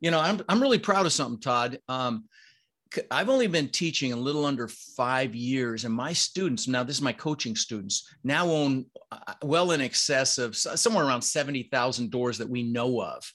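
A man speaks at a medium pitch with ordinary pitch variation, in an unremarkable speaking voice. Behind him the background is quiet. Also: moderate pace. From Netherlands, raised in Denver US. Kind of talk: casual interview chat.

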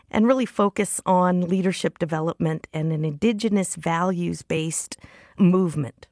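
A woman speaks at a moderate pace in an ordinary speaking voice of medium pitch, recorded dry and close with no echo, very clean with a silent background. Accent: American. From US, Comanche Nation. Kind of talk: interview monologue.

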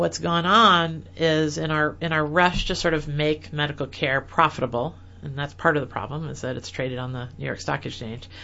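Talking at a moderate pace with hardly any pauses, a woman with an American accent has a very deep, low pitch, vocal fry and ordinary pitch variation. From US Midwest, rural Illinois. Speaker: dentist and online publisher. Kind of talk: interview.

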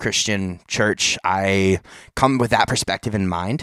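On a very clean recording with a silent background and a dry, close sound with no echo, a man speaks in a plain, everyday voice at fairly low pitch and a moderate pace. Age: young. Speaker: podcast host. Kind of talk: casual chat.

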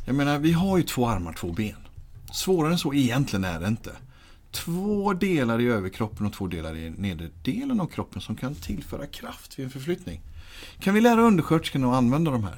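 Speaking at a fairly quick pace, a man uses a medium pitch with very wide pitch swings. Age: 30s. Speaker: physiotherapist and patient-handling trainer. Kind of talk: interview.

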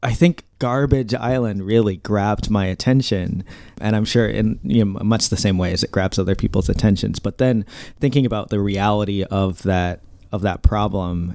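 With an American accent, a man talks in a normal speaking voice at fairly low pitch, with ordinary pitch variation, a moderate pace and a very clean recording over a silent background. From US Midwest, Indiana. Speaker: podcast co-host. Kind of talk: interview.

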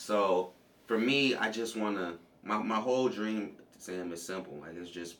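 A man talks at a fairly low pitch with ordinary pitch variation and big swings in loudness. Audible room echo and noticeable background noise fill the recording. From US West Coast, Compton, California. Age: 20s. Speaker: pro MMA fighter and former college wrestler. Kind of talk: casual interview.

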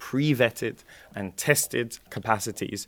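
On a very clean recording with a silent background, a man at medium pitch speaks with ordinary pitch variation in a dry, close sound with no echo. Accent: British. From UK. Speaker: startup growth head. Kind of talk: interview.

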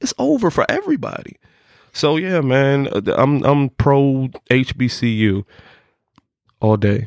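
With an American accent, a man speaks at a fairly slow pace and a fairly high pitch, using ordinary pitch variation, very even loudness and long, frequent pauses, in a dry, close sound with no echo. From Norfolk, Virginia. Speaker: personal trainer and former track athlete. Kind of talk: casual interview.

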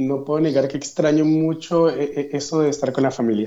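An ordinary speaking voice from a man, pitched fairly high. His pitch shows ordinary variation. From Colombia, Yopal, Casanare (llanos region). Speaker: graduate student. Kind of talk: interview.

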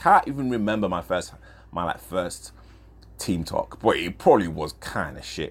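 A man with a very deep, low voice and vocal fry speaks at a moderate pace. His intonation is lively, and his loudness swings widely. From northern England. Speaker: grassroots football podcaster. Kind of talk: casual chat. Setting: kitchen at home. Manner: halting, with stammer; chatty, rambling.

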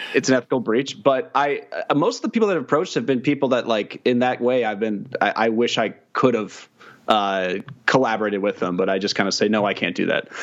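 A medium-pitched man with an American accent, at a very fast pace. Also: ordinary pitch variation. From Kansas City. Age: 20s. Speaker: video producer and journalist. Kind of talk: casual interview chat.

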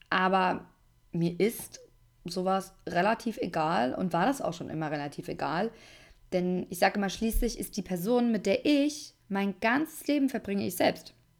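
A woman speaks at a medium pitch with very wide pitch swings. The recording is very clean, the background silent. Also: fairly slow pace. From Germany, Aschaffenburg area (Lower Franconia). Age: 20s. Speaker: podcast host. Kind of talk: casual monologue, podcast intro.

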